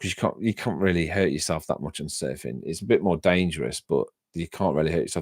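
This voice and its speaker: A man with a very deep, low pitch and vocal fry talks at a fairly quick pace in an animated tone. The recording is very clean with a silent background and a dry, close sound with no echo. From Derby, England. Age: 40s. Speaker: music reaction streamer. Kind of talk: casual live-stream chat. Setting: live stream. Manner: halting.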